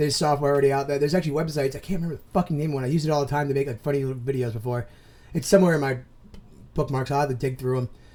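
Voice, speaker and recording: A man's dark, mellow voice, fairly high in pitch, with fairly even intonation. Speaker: commentary youtuber. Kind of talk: reaction commentary. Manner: loud, expressive; fast, rambling with false starts.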